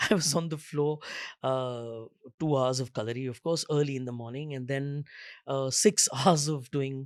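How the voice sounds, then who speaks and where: A man talks at a moderate pace with fairly even intonation in a plain, everyday voice. The recording is very clean, with a silent background. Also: fairly high pitch for a man. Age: 50s. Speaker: theatre director and actor. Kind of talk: panel discussion.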